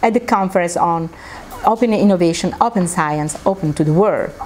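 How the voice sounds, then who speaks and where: A woman is speaking. Her intonation is lively. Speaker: conference presenter. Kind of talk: presentation talk. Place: meeting room. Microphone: lapel.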